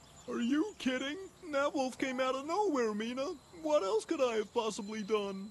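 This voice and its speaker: A female-sounding voice does a put-on character voice at a high pitch and a moderate pace. Background noise is clearly audible. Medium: fan dub. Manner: nervous, defensive.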